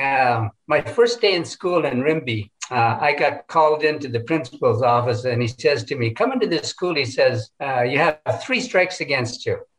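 A man's voice at a moderate pace, with very wide pitch swings. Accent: Canadian. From northern British Columbia, Canada. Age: 70s. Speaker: residential school survivor. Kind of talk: testimony.

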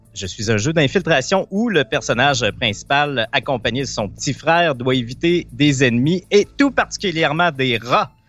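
With music in the background, a man with a Quebec accent speaks at a moderate pace with lively intonation. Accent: Québécois French. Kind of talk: quiz question reading; casual chat. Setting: remote video call.

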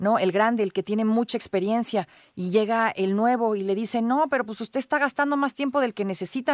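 With a Mexican accent, a woman speaks at a fairly quick pace and a fairly high pitch, with ordinary pitch variation, on a very clean recording with a silent background. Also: dry, close sound with no echo. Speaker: radio host. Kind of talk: radio interview.

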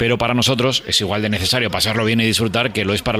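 A man speaks very fast in a fairly low voice. Noticeable background noise is present. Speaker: radio host. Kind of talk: interview; scripted narration.

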